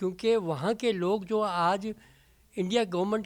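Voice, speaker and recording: The recording is very clean, with a silent background. A man speaks at a high pitch with ordinary pitch variation. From Pakistan-administered Kashmir, displaced as a child. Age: 80s+. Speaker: partition refugee. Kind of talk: interview. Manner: halting.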